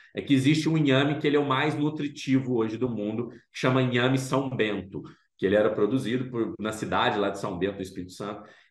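A man's medium-pitched voice at a very fast pace, with audible room echo. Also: ordinary pitch variation. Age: 40s. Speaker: food startup founder. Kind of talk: interview.

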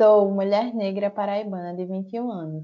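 At a fairly slow pace, a woman with an unremarkable speaking voice talks at a medium pitch with fairly even intonation. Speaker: podcast host. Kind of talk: casual conversational podcast discussion.

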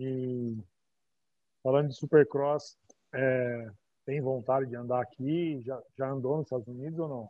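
Speaking fairly slowly with long, frequent pauses, a man with a Brazilian accent keeps a medium pitch and a fairly even intonation. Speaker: podcast host. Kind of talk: interview. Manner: casual.

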